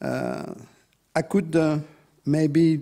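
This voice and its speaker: The recording is very clean with a silent background. A man speaks in a fairly high pitch. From France. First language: French. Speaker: EU official, conference speaker. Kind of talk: conference talk. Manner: halting, many fillers.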